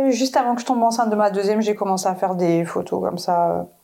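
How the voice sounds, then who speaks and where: The woman has a medium pitch and a dark, mellow tone. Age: 30s. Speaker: photographer. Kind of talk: casual chat.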